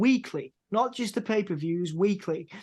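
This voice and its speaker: The speaker has a British accent and a moderate pace. The background is quiet. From UK. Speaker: wrestling journalist, podcast host. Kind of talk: interview.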